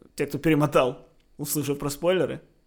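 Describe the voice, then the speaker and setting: A man speaks at a moderate pace. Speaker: podcast co-host. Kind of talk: casual chat. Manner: animated, joking.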